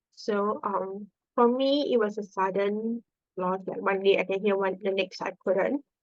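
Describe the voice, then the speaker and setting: A woman speaks in a Singaporean accent at a medium pitch. Her pace is fairly slow and her intonation fairly even. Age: 20s. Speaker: nurse. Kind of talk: podcast interview. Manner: hesitant, many fillers.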